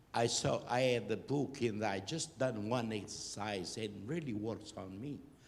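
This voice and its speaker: There is audible room echo as a man talks at a fairly slow pace with hardly any pauses. His pitch is medium, with ordinary variation. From Portugal. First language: Portuguese. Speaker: audience member. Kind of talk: audience question.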